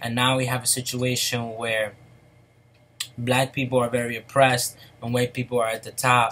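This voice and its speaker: Here a man speaks at medium pitch. His intonation is monotone and flat. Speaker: vlogger. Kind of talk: casual monologue. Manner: slow; halting.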